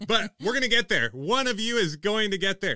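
A man speaks in a raised, projected voice at a fairly quick pace. His tone is bright and sharp against a quiet background. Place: studio. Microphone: studio mic.

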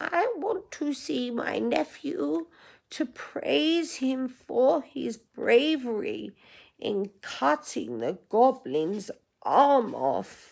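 A squeaky, put-on character voice drawls at a very slow pace. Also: female-sounding voice, high pitch for a woman. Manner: sweet, flattering.

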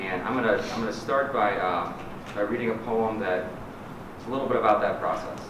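Pausing long and often, a man talks with fairly even intonation amid audible room echo and noticeable background noise. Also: moderate pace. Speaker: poet and nonprofit director. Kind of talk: poem reading, after a short spoken intro to a library audience. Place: hall. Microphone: podium.

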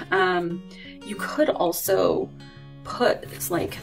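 Faint music plays in the background. Over it, a woman speaks. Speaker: planner reviewer. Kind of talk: casual product walkthrough.

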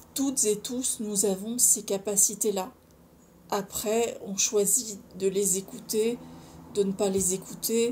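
A woman talks at a very slow pace in a dark, mellow, somewhat breathy tone. Her intonation is fairly even, with light background noise. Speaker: video blogger on personal development and spirituality; video blogger on personal development. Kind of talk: casual solo monologue to camera, sharing personal experience; casual vlog chat. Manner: informal, chatty, hesitant with many fillers. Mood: calm, earnest, reflective. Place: home room. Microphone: phone near.

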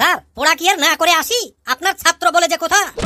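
A woman's cartoonish character voice with an extremely high pitch and ordinary pitch variation, fairly quick pace and very even loudness. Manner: cheeky, joking.

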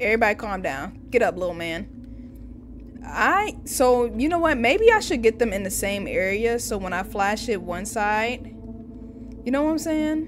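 This woman's fairly high voice takes big pitch swings while she keeps a moderate pace.

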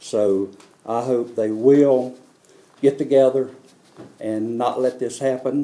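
With a North Carolina accent, a man speaks very slowly in a dark, mellow, monotone, flat voice, leaving long, frequent pauses. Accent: US Southern, North Carolina. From North Carolina, Harnett County. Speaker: farmer. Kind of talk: press conference statement. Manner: halting, many fillers. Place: hall.

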